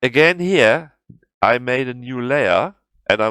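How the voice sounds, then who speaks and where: A man speaks with a German accent at a fairly slow pace. The recording is very clean with a silent background and a dry, close sound with no echo. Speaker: video game tutorial creator. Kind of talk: tutorial. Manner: halting.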